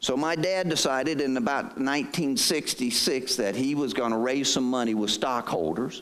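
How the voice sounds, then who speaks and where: In a Southern US accent, a man speaks at a moderate pace and medium pitch with ordinary pitch variation. His loudness stays very even, and room echo is audible. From southeast North Carolina. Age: 60s. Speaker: state pension agency head. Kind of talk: presentation to audience. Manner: conversational.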